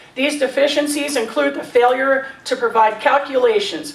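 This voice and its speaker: Her voice is high, with lively intonation and a fairly slow pace. Noticeable background noise runs underneath the woman. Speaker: resident speaking at public comment. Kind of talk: public comment at council meeting. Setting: council meeting hall. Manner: formal.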